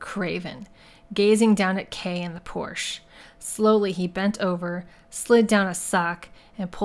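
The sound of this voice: An unforced reading voice with fairly even intonation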